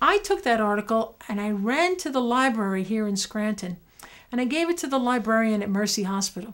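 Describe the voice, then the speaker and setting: A woman with a New York accent, fairly high in pitch, at a fairly quick pace with lively intonation, on a very clean recording with a silent background. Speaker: dentist. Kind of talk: personal story to camera. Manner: animated.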